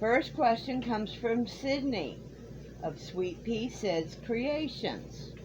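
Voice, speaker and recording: With very wide pitch swings, a somewhat breathy woman speaks amid audible room echo. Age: 60s. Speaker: crochet YouTuber. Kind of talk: Q&A video, casual talk to camera. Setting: home, in a camper.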